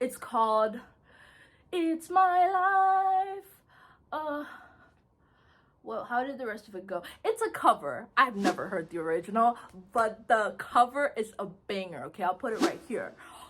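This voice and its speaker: Pausing often and at length, a woman with an American accent speaks at a fairly slow pace in a high pitch, with very wide pitch swings and big swings in loudness. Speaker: YouTube commentator. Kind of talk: casual video commentary. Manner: casual, many filler words.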